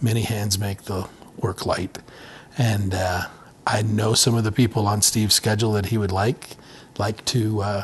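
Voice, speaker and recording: Amid noticeable background noise, a man with a fairly low pitch speaks in a flat, monotone way, leaving long and frequent pauses. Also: moderate pace. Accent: American. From Montana, US. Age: 60s. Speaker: businessman and ministry executive. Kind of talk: casual interview chat. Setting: studio room, cigar lounge.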